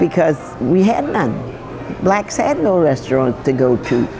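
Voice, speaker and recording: Against crowd noise in the background, a woman with a very deep, low pitch talks at a moderate pace. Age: 80s+. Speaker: chef and restaurant owner. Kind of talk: interview answer. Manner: storytelling.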